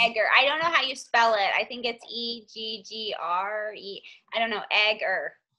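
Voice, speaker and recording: A woman's fairly high voice with ordinary pitch variation and big swings in loudness. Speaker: team leader hosting a group call. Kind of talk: team conference call. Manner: fast.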